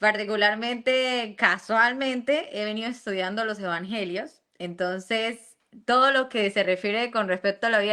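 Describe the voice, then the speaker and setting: Against a quiet background, a woman with a Santander Colombian accent speaks at a moderate pace and a fairly high pitch with ordinary pitch variation. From Venezuela. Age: 20s.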